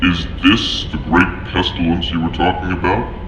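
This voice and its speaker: A man's put-on character voice, very deep and low, at a moderate pace, with clear echo and loud background noise. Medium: audio drama. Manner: formal, clinical.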